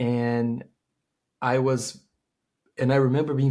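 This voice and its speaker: A man with a Portuguese accent speaks at a medium pitch and a fairly slow pace. The recording is very clean, with a silent background. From Brazil. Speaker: tech startup founder and CEO. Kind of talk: interview.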